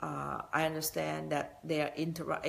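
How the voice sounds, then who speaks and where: Someone with a Thai accent speaks at a very slow pace. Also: woman. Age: 60s. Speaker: business motivational speaker. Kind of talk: motivational talk. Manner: halting.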